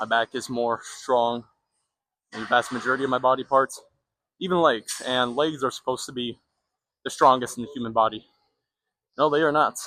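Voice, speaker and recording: A man with a bright, sharp tone and medium pitch talks at a fairly quick pace, his intonation fairly even. He leaves long, frequent pauses, and the sound is dry and close with no echo. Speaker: fitness vlogger. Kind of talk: casual gym vlog talk. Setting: gym. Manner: fast.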